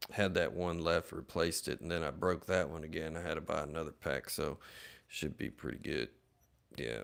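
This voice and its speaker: In a very clean recording with a silent background, a man with a very deep, low pitch and vocal fry speaks with fairly even intonation. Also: moderate pace. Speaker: flintknapper livestreamer. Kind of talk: casual livestream chat while working. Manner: low-talking.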